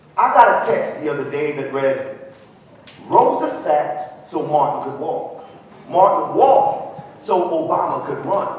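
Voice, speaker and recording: With noticeable background noise behind him, a man speaks at a fairly slow pace in a high pitch, his pitch swinging very widely and his loudness rising and falling sharply. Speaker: spoken word artist. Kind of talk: spoken word poetry performance. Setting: live event.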